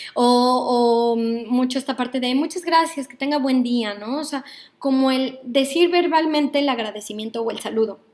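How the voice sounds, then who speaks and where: With a Mexican accent, a woman speaks at a high pitch and a moderate pace, showing ordinary pitch variation. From Mexico, Mexico City. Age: 30s. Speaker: psychologist and workshop leader. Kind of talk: online workshop lecture. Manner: hesitant, with many fillers.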